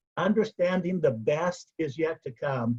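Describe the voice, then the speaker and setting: A man with an ordinary speaking voice talks fairly slowly, his intonation lively. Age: 60s. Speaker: motivational speaker, past service club president. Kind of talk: motivational speech.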